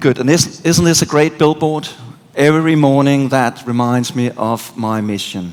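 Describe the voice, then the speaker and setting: Over noticeable background noise, a man with a Danish accent speaks at medium pitch and a fairly slow pace, with ordinary pitch variation. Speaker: conference speaker. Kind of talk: keynote talk. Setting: stage with audience. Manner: animated.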